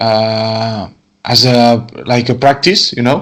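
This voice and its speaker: A man speaks at a medium pitch with a Spanish accent. His pace is very slow. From Catalonia, Spain. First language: Spanish or Catalan. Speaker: wine export manager. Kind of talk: interview. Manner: halting, repetitive.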